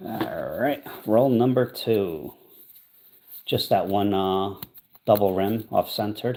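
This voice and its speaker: A quiet man's fairly low voice with ordinary pitch variation, a very slow pace and long, frequent pauses. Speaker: coin roll hunting livestreamer. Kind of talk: live stream chat while searching coins. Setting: livestream from an Airbnb. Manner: quiet, speaking low.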